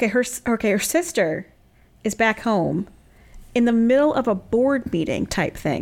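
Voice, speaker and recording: A woman's unremarkable speaking voice, fairly high in pitch, fairly slow, with lively intonation. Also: very clean recording, silent background. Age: 30s. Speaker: podcast co-host. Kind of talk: casual chat.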